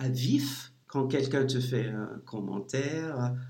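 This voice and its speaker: With an English accent, a man talks at a medium pitch. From US Midwest, St. Louis, Missouri. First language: English (speaking French). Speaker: leadership coach. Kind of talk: interview.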